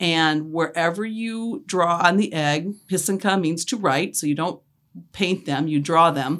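An ordinary speaking voice, a woman's at a fairly low pitch, goes at a fairly slow pace with ordinary pitch variation in a very clean recording with a silent background. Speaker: pysanky egg artist, grandmother. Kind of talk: casual family interview.

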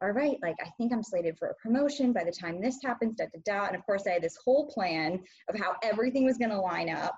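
Talking very fast with hardly any pauses, a woman with an American accent uses a fairly high pitch, lively intonation and a somewhat breathy sound. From US Midwest, small town. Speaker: podcast guest. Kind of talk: interview.

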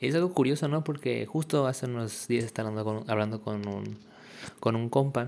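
Speaking with a Mexican accent, a man uses a medium pitch and ordinary pitch variation. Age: young. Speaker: podcaster. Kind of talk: casual monologue. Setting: at home in kitchen. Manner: halting.

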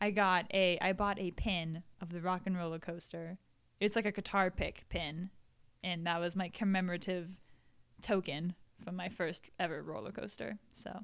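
With an American accent, a woman in an ordinary speaking voice talks at a moderate pace and fairly even intonation on a very clean recording with a silent background. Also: medium pitch for a woman. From Florida. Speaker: podcast co-host. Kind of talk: casual chat. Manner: giggly, laughs often.

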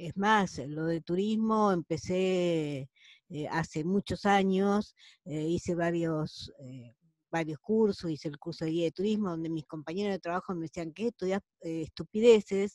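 A woman with a Rioplatense accent, fairly low-pitched, at a fairly slow pace with ordinary pitch variation. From Argentina, La Plata. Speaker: accountant and tour guide. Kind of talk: online group discussion. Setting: video call.

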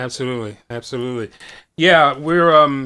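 A man's voice has a bright, sharp tone and an American accent. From US East Coast, Washington DC / Baltimore area. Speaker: bass player. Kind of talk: casual chat. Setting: video call.

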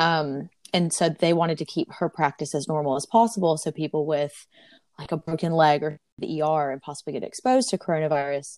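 A woman with an Alabama accent speaks in a very deep, low voice with ordinary pitch variation, recorded very cleanly against a silent background with a dry, close sound and no echo. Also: fairly quick pace. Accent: Southern US (Alabama). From US South, Auburn, Alabama. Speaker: traveler and corporate professional. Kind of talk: interview.

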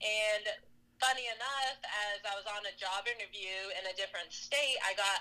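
Female speech at an average tempo, with clearly audible noise behind it. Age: 30s. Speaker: CrossFit athlete and coach. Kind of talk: interview.

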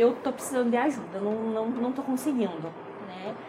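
A woman speaks in a high voice. Noticeable background noise and audible room echo fill the recording. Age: 20s. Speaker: eyebrow designer and mother. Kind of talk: casual interview.

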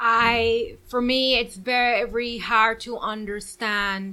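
A woman with a Guyanese accent speaks at a fairly high pitch. Her pitch variation is ordinary. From Guyana, then Houston, Texas. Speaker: guest, business owner. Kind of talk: casual chat, interview. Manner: animated, laughing.

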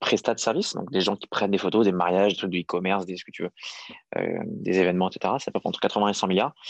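Dry and close with no echo, a man's very deep, low voice moves with fairly even intonation. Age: 30s. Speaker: startup founder and CEO. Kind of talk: interview.

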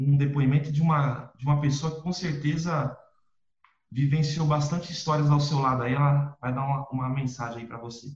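At a moderate pace, a man speaks in a somewhat breathy voice with a fairly high pitch. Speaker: podcast host. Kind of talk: interview.

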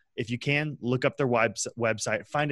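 In a normal speaking voice, a man with an American accent talks at a fairly quick pace and medium pitch, with ordinary pitch variation, a quiet background, and a dry, close sound with no echo. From West Texas, small town. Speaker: freelancer and sales executive. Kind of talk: casual chat.

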